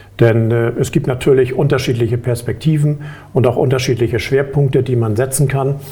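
Monotone, flat intonation from a man at a moderate pace, noticeable background noise. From Hamburg, northern Germany. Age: 50s. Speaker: insurance board candidate, insurance manager. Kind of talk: interview. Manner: hesitant, many filler sounds.

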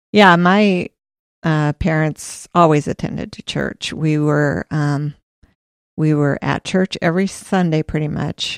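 Speaking at a fairly slow pace with a Midwestern US accent, a woman has a very deep, low pitch and fairly even intonation, recorded dry and close with no echo. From Iowa. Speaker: church administrative assistant. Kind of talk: casual interview.

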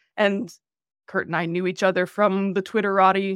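In a very clean, dry, close recording with no echo and a silent background, a woman speaks at a moderate pace and medium pitch with a Canadian accent in a plain, everyday voice. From rural Canada (Manitoba area). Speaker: banking technology executive. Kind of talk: interview.

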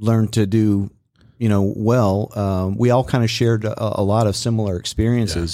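In a Texan accent, a man with a dark, mellow tone and fairly low pitch speaks at a moderate pace with fairly even intonation on a very clean recording with a silent background. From East Texas (Beaumont). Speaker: retired SWAT officer. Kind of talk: casual interview.

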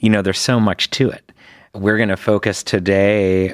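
A man talks at a moderate pace. The recording is very clean with a silent background and a dry, close sound without echo. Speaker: physician and podcast host. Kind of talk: interview. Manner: halting.

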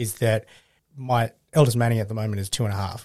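A man speaks at a medium pitch and a fairly quick pace, with an Australian accent. His intonation is flat and monotone, on a very clean recording with a silent background.

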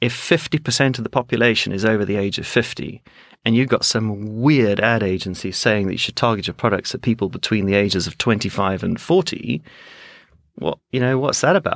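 A man speaks at medium pitch with ordinary pitch variation. His pace is fairly quick, and it is an ordinary speaking voice. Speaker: advertising executive. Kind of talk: casual interview chat.

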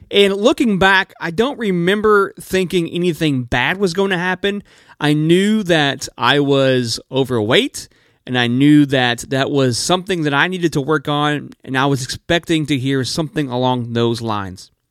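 A man speaks in an ordinary speaking voice, fairly high in pitch with lively intonation, at a moderate pace. The recording is very clean with a silent background, and the sound is dry and close with no echo. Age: 30s. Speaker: podcast host living with type 1 diabetes. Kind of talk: personal storytelling monologue. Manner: warm, upbeat.

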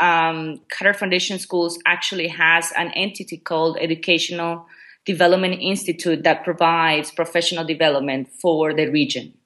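Speaking with a Spanish accent, a woman keeps a moderate pace with hardly any pauses and a bright, sharp tone. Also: quiet background. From Ecuador. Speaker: education technology coordinator. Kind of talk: interview. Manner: hesitant, many fillers.

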